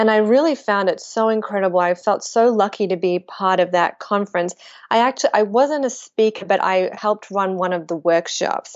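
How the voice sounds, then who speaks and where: A woman with an Australian accent talks at a medium pitch and a moderate pace. Her pitch varies in an ordinary way, and she hardly pauses at all. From Australia, Melbourne. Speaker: spiritual author and blogger. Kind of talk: interview conversation.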